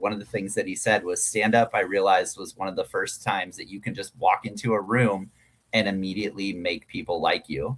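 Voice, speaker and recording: A man speaks loudly with a fairly low pitch. His pace is fairly quick. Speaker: stand-up comedian. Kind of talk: casual interview chat.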